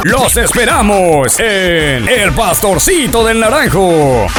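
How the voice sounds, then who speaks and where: Over music in the background, a man talks at a very slow pace in a high voice with very wide pitch swings. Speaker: announcer. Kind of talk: radio or street advertising spot.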